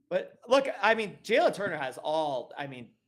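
Very wide swings in pitch from a man with an American accent. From US Northeast, Connecticut. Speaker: MMA betting pundit. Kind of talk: casual chat.

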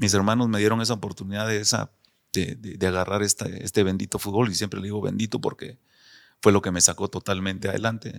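On a very clean recording with a silent background and a dry, close sound with no echo, a man talks very fast in a fairly low, monotone, flat voice. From Guatemala City, zona 6. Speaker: retired footballer. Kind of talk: interview.

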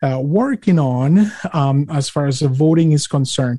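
This man talks at a moderate pace in a Spanish accent. His tone is dark and mellow, and his pitch varies in an ordinary way. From Mexico. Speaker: podcast host. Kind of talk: interview / casual political chat. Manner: hesitant, many fillers.

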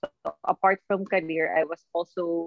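A woman with a fairly low pitch speaks with a Filipino accent while music plays in the background. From Philippines, Batangas. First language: Tagalog. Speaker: marketing executive and mother. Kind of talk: casual interview in Taglish.

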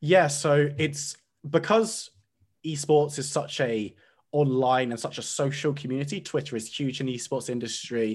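Against a quiet background, a man with a fairly high, somewhat breathy voice speaks. His pace is moderate and his pitch varies in an ordinary way. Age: 20s. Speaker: esports caster. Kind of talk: podcast interview.

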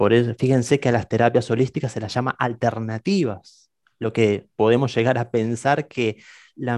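In a dry, close recording with no echo and a quiet background, a man with an unremarkable speaking voice talks at a moderate pace and medium pitch. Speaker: podcast host. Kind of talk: live-streamed podcast interview.

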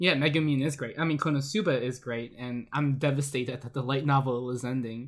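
An ordinary speaking voice at a fairly quick pace, with fairly even intonation and hardly any pauses. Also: man, medium pitch for a man. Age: 20s. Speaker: anime podcast host. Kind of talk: casual chat.

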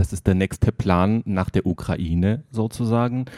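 Fairly low in pitch, a man talks at a fairly slow pace in a dark, mellow tone with ordinary pitch variation. The very clean recording has a silent background and a dry, close sound with no echo. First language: not German (speaking German). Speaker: editor of a book by post-Soviet journalists. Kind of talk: interview. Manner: halting.

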